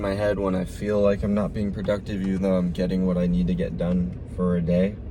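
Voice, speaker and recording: A man mumbles at a very fast pace and fairly low pitch with hardly any pauses, and the room echo is audible. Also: very even loudness. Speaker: vlogger and athlete. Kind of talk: casual vlog talk. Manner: mumbling.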